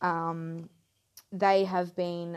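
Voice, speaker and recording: A woman in a Queensland accent, fairly low in pitch, with monotone, flat intonation. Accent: Queensland Australian. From Queensland, Australia (Mackay). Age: 20s. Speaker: podcast host. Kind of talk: casual monologue. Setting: home lounge room. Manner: halting.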